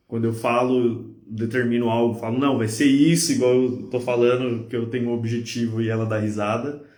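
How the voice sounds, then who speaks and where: There is audible room echo as a man of medium pitch speaks at a moderate pace in a monotone, flat delivery. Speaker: podcast host. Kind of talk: casual chat. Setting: live stream.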